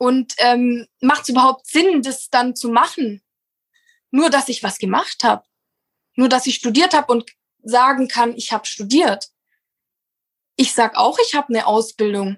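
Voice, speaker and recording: A woman with a high pitch and ordinary pitch variation talks at a fairly slow pace with long, frequent pauses. The sound is dry and close with no echo. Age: 20s. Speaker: landscape gardener in family business. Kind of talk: interview. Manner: animated.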